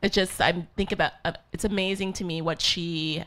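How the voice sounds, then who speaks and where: Using an unremarkable speaking voice, a woman talks at a fairly quick pace. Her pitch is medium, with ordinary variation. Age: 40s. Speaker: physician and author. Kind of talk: on-stage interview.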